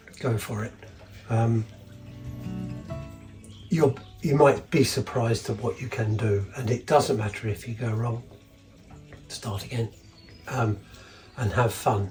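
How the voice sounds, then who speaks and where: Over music in the background, a man speaks in a relaxed tone at a medium pitch with ordinary pitch variation, a fairly slow pace and long, frequent pauses. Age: 70s. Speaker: retired woodworker. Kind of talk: interview answer. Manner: relaxed, hesitant.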